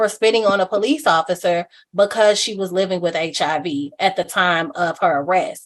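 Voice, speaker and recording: With a plain, everyday voice, a woman speaks at medium pitch and a fairly quick pace, using ordinary pitch variation. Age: 30s. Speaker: HIV advocate and human rights activist. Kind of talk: interview answer.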